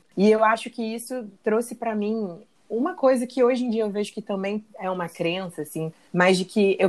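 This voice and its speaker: A woman speaks in an unremarkable speaking voice at a moderate pace, with ordinary pitch variation. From Rio de Janeiro, Brazil. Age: 30s. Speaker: actress. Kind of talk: casual chat.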